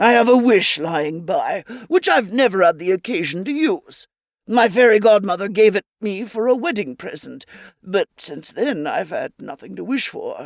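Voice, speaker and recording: Speaking at a moderate pace, a woman with a medium pitch uses a put-on character voice. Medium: read story.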